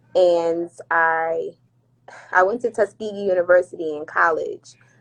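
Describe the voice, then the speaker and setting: This woman has a plain, everyday voice. She talks at a moderate pace with fairly even intonation. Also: fairly low pitch for a woman. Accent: American. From New Jersey (Irvington / Newark area). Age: 20s. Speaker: flight attendant. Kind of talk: casual podcast interview. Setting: Instagram live stream.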